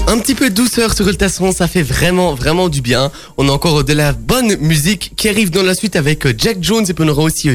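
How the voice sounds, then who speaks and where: A man with a high pitch talks at a fairly quick pace with lively intonation and hardly any pauses. His loudness stays very even over noticeable background noise. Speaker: community radio sports show host. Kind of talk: casual radio sports chat. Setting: radio studio.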